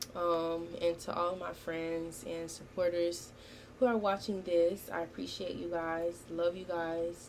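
A woman's fairly low voice, fairly slow in pace, with monotone, flat intonation. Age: 19. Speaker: podcast host and college student. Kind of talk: casual monologue. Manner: casual, with frequent fillers.

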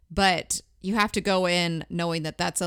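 A woman's fairly low-pitched, plain, everyday voice at a fairly slow pace. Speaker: podcast host. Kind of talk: casual chat.

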